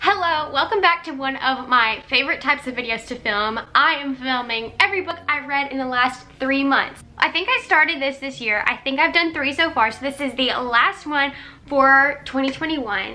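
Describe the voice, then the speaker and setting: A woman speaks in a raised, projected voice with an enthusiastic tone and hardly any pauses. Her pace is moderate and her pitch variation is ordinary. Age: young. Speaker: book reviewer. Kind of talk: casual talk to camera. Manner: chatty, enthusiastic. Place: home room. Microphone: camera far.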